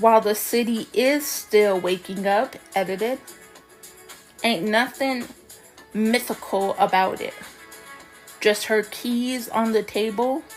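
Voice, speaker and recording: Over music in the background, a woman speaks at a very slow pace with long, frequent pauses and fairly even intonation. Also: fairly high pitch for a woman. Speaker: poet. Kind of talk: poetry reading.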